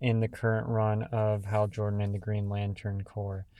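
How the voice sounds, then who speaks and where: A man's medium-pitched voice comes through a very clean recording with a silent background. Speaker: comics reviewer, YouTuber. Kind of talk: casual rambling review. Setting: home at night, dark room. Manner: hesitant, many fillers and repeats.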